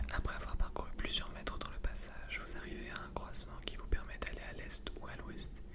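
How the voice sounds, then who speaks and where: Whispered speech goes on at a moderate pace while noticeable background noise persists. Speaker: channel host reading a gamebook aloud and playing along. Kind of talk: reading book text aloud in second person.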